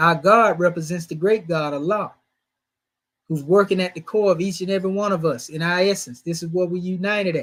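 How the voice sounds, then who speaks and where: Very clean recording with a silent background: a high-pitched man, moderate pace, fairly even intonation. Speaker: religious teacher. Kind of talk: sermon. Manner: conversational.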